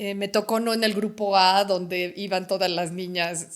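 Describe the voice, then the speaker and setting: This woman's voice sits at a medium pitch. Her delivery stays flat and monotone. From Mexico, Puebla. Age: 60s. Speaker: retired educator. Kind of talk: interview conversation. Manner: halting.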